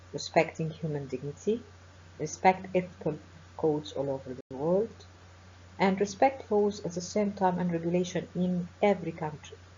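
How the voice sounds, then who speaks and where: With an Egyptian accent, a woman speaks at a moderate pace in a somewhat breathy, fairly low voice with ordinary pitch variation. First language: Arabic. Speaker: professor of forensic medicine. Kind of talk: webinar lecture. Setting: online webinar.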